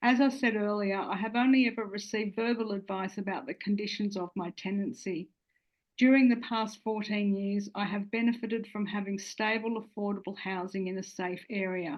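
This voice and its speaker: Speaking in an Australian accent, a woman talks at a fairly quick pace and medium pitch. Her intonation stays fairly even. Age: 60s. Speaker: social housing tenant giving testimony. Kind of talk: testimony. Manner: formal.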